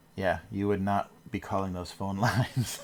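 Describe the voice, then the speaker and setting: Using an ordinary speaking voice, a man with an American accent talks at a fairly slow pace and a fairly low pitch. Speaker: cartoonist livestreamer. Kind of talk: casual livestream chat while drawing. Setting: livestream from home. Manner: relaxed, rambling with fillers.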